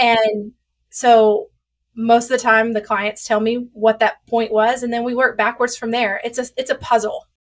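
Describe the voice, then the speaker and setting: A woman with a strong Southern US accent, fairly high pitch and monotone, flat intonation. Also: moderate pace. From US South. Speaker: sex therapist. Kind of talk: interview. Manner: loud.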